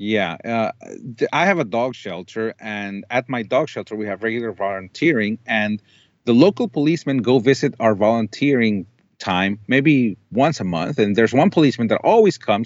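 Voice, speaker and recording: At a moderate pace, a man with a Spanish accent speaks at a medium pitch with lively intonation. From Colombia. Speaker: dog shelter owner. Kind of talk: interview testimony.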